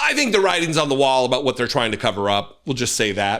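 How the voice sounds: Using a put-on character voice, a raspy man with medium pitch races along at a very fast pace, with lively intonation and very even loudness.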